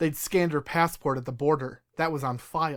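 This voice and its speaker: A man's put-on character voice, gravelly and fairly high-pitched, at a moderate pace with fairly even intonation, on a very clean recording with a silent background. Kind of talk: hard-boiled first-person voice-over. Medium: audio drama. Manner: gritty, profane.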